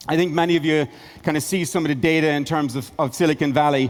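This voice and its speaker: A very fast delivery in an Irish accent with fairly even intonation. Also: man. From Ireland. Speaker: tech investor and company founder. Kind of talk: conference keynote.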